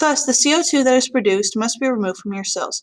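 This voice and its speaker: At a fairly quick pace, a woman speaks with lively intonation in an unremarkable speaking voice. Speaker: biology teacher. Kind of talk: tutorial. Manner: casual.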